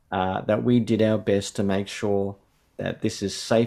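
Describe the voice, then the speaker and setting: A man with an Australian accent speaks in a dark, mellow tone at a fairly low pitch with fairly even intonation. The recording is very clean, the background silent. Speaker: theology professor. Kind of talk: interview conversation.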